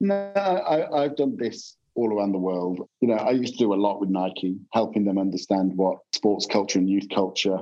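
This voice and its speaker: A man with a normal speaking voice talks at a moderate pace in a fairly low pitch, with ordinary pitch variation, very even loudness and hardly any pauses. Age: 50s. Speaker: advertising strategist. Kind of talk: casual chat.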